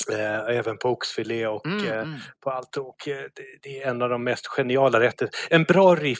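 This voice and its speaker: Here is a man with an ordinary speaking voice at a medium pitch, using ordinary pitch variation at a moderate pace. The sound is dry and close, with no echo. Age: 40s. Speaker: podcast co-host. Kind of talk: casual chat.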